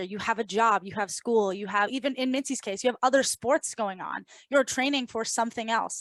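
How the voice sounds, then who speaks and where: On a very clean recording with a silent background, a woman talks fairly quickly in a normal speaking voice at a fairly high pitch, her intonation fairly even and the sound dry and close with no echo. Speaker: podcast co-host. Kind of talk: casual podcast conversation.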